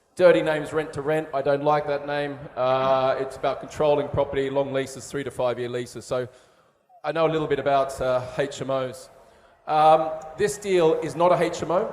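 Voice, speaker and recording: Audible room echo surrounds a man who speaks at a moderate pace with a fairly high pitch and fairly even intonation. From Australia. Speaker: property developer pitching to investors. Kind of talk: investment pitch. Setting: live stage show at trade event. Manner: hesitant, many fillers.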